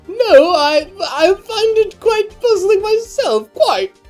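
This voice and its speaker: A man uses a put-on character voice at a very slow pace. Faint music sits in the background. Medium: game stream. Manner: stammering, flustered.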